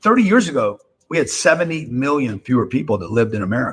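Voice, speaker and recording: Somewhat breathy, a man speaks at medium pitch and a very fast pace. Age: 60s. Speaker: real estate investor and political commentator. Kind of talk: live-stream political commentary. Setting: live stream.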